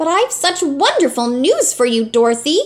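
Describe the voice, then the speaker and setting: A put-on character voice from a woman, squeaky and high, with very wide pitch swings. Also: moderate pace. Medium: read story. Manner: haughty, fussy.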